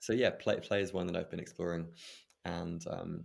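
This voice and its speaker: A man speaks with an English accent. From England. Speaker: breathwork facilitator and meditation coach. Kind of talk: interview conversation.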